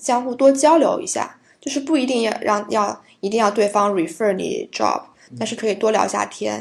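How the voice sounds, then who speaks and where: The speech moves at a moderate pace with ordinary pitch variation. Vocal fry runs through it. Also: woman, fairly high pitch for a woman. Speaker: tax accountant. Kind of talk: interview.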